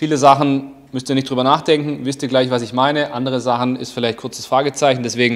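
A man talks with fairly even intonation at a fairly quick pace. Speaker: fitness coach. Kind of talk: tutorial. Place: gym. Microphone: lapel.

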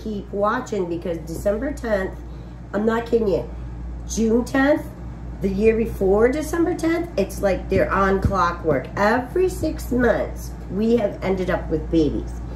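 A woman at a fairly slow pace, with light background noise. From Wisconsin. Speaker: farmer. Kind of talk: casual chat. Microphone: phone near.

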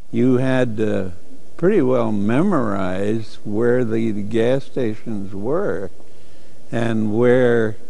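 Ordinary pitch variation runs through a man's speech, delivered at a very slow pace. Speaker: car enthusiast interviewee. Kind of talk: interview answer. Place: hall. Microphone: lapel.

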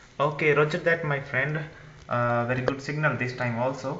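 With light background noise and audible room echo, a man speaks in fairly even intonation. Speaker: amateur radio operator. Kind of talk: radio contact exchange. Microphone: handheld.

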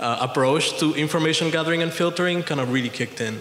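A man speaks at a fairly quick pace with fairly even intonation. Light background noise and audible room echo are present. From Puerto Rico. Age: 30s. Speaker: audience member. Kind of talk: audience question. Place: hall.

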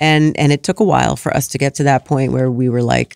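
A woman speaks at a fairly quick pace with vocal fry. The background is quiet and the sound dry, with no echo. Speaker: parenting author; guest. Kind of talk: casual chat. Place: studio. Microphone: studio mic.

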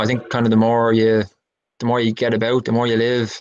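Against a quiet background, a man with a Dublin accent speaks at a medium pitch and moderate pace in a monotone, flat intonation. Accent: Dublin Irish. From Ireland. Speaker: musician and songwriter. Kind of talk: casual interview chat. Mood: relaxed, reflective. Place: home room. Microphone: video call.

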